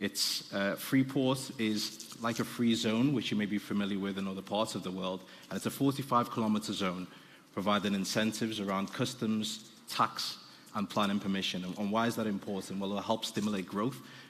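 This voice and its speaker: Fairly quick and fairly even in intonation, a man speaks with a Liverpool accent. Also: fairly low pitch for a man. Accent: Liverpool (Scouse). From Liverpool, England. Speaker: business development director. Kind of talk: conference presentation. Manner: fast.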